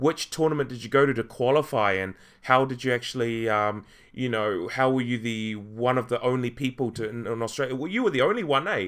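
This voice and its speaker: A medium-pitched man with a New Zealand accent at a fairly quick pace. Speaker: podcast host. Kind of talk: casual interview. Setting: online call.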